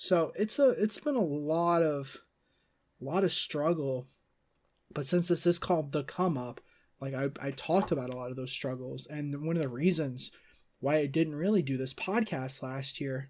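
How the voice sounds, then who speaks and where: With an unremarkable speaking voice, a man talks at a fairly high pitch and a moderate pace, using ordinary pitch variation on a very clean recording with a silent background. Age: 20s. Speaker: podcast host and freelance video editor. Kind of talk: solo casual monologue.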